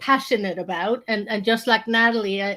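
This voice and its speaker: A woman with a fairly high voice speaks in a flat monotone, recorded very cleanly against a silent background. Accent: Swedish. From Sweden. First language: Swedish. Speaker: strategy consultant. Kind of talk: casual panel discussion.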